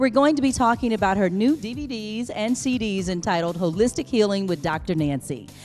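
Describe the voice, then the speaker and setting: A woman talks at a fairly quick clip with hardly any pauses, her medium pitch swinging very widely over music in the background. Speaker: infomercial announcer and show host. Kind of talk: talk show host interviewing guest.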